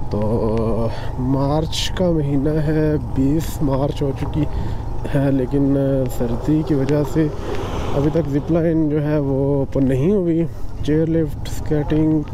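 A man with fairly even intonation and very even loudness, amid noticeable background noise. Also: dry sound with no echo. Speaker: travel vlogger rider. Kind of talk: casual vlog chat. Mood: mildly disappointed, accepting. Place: motorbike. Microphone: helmet.

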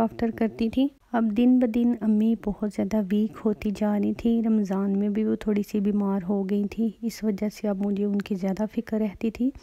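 A woman speaks at a fairly high pitch in a dark, mellow tone. The sound is dry and close, with no echo. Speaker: vlogger. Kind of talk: vlog narration.

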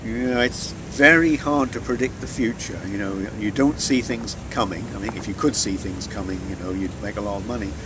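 A man with a southern English accent and fairly low pitch, lively intonation at a moderate pace, hardly any pauses, dry sound with no echo and noticeable background noise. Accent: southern English, educated British. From rural Norfolk, England. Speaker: chemistry lecturer, NMR researcher. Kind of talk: interview answer. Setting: conference venue. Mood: relaxed, reflective. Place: waterside.

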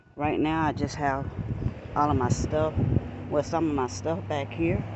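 A woman speaks at a fairly slow pace. The sound is dry with no echo, though loud background noise is present. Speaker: van dweller. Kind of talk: casual talk to camera. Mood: cheerful, proud. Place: street. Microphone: phone near.

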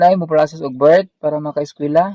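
A man speaks at a fairly slow pace in a dark, mellow tone. The background is quiet. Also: dry sound with no echo. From Philippines. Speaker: vlogger. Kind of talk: casual vlog chat. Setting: outdoors, mountain trip. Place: open country. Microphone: phone near.

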